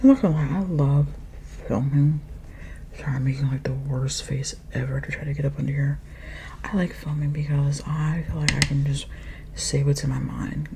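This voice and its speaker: Soft-spoken, a woman keeps a moderate pace with long, frequent pauses over noticeable background noise. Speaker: ASMR creator. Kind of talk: ASMR makeup rambling.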